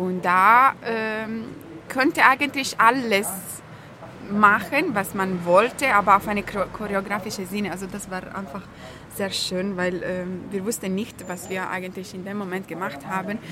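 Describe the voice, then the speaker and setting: A woman with an Italian accent speaks fairly slowly at medium pitch, with ordinary pitch variation and big swings in loudness. Noticeable background noise is present. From Italy. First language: Italian (speaking German). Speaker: pianist. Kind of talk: casual interview chat. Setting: café.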